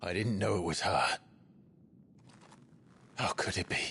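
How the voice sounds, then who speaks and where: A man uses a put-on character voice, raspy and very deep in pitch. He talks at a moderate pace. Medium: video game. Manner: serious, measured.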